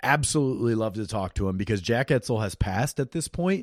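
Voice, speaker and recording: Recorded very cleanly with a silent background and a dry, close sound with no echo, a man with a Midwestern US accent speaks at a fairly quick pace with lively intonation. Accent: US Midwest. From Iowa. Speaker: podcast host. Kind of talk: podcast intro monologue. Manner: casual.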